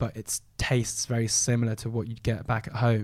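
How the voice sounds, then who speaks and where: The recording is very clean, with a silent background. A man of medium pitch talks at a fairly quick pace in a London accent. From southwest London. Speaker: food and travel influencer. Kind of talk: casual chat.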